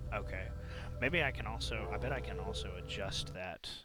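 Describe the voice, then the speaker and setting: A moderate pace, vocal fry and mumbling, all in a bright, sharp tone. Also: man. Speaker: video game streamer. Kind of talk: gameplay commentary. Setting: home live stream with headphones. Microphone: too quiet at first, mic turned up.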